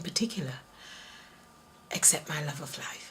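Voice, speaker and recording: A woman speaks with a somewhat breathy voice. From Jamaica. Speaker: interviewee. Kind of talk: interview.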